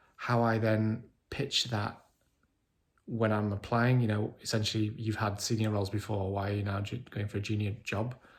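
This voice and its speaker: A man's somewhat breathy voice stays monotone and flat on a very clean recording with a silent background. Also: moderate pace. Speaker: vlogger with chronic illness. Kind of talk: video diary. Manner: halting.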